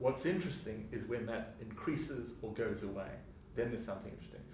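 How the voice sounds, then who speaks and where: A man talks at a fairly quick pace with ordinary pitch variation. Room echo is audible. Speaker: psychology professor and author. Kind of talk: interview. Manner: fast.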